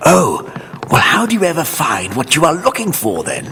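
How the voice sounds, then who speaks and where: Using a cartoonish character voice, a man talks at a moderate pace with clear background noise behind him. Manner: pompous, blustering.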